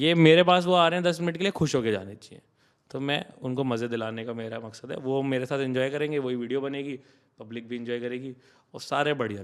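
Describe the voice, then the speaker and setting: This man has an unremarkable speaking voice, medium in pitch, with ordinary pitch variation, a moderate pace and big swings in loudness. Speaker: comedian and content creator. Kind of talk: podcast interview. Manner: casual, code-switching Hindi-English.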